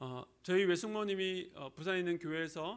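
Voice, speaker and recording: A man's high voice with a slight Gyeongsang accent, ordinary pitch variation and a fairly quick pace. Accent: slight Gyeongsang, little dialect. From Busan, South Korea. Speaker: pastor. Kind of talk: sermon. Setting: church.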